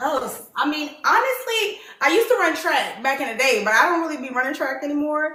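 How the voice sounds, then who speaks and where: A woman talks in a raised, projected voice at a high pitch, with very wide pitch swings, an animated tone, a fairly quick pace and hardly any pauses. Audible room echo and noticeable background noise fill the clip. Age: 30s. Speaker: dating show host. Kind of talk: casual chat.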